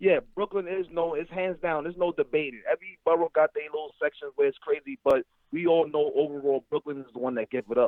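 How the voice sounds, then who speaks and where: A man with a New York accent talks at a very fast pace with hardly any pauses. His pitch is high for a man, with ordinary variation. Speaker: caller. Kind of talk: call-in discussion.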